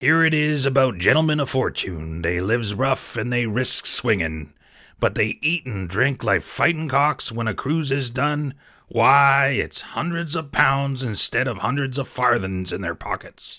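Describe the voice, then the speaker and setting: A man performs a put-on character voice at a moderate pace. The voice is raspy. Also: medium pitch for a man, very clean recording, silent background. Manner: wheedling, boastful, menacing.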